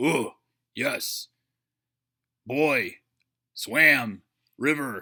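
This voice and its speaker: In a very clean recording with a silent background, a man does a raspy put-on character voice at a fairly high pitch. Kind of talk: broken, minimal words. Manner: simple, clipped, grunting.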